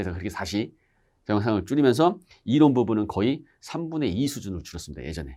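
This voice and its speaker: In a very clean recording with a silent background, a man talks at a very fast pace with vocal fry and very wide pitch swings. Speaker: exam-prep instructor. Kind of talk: lecture. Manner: conversational.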